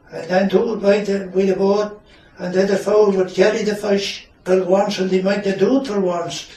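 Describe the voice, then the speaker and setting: A man with a Shetland accent, high-pitched and monotone in flat intonation, over noticeable background noise. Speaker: retired fisherman. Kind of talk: interview answer.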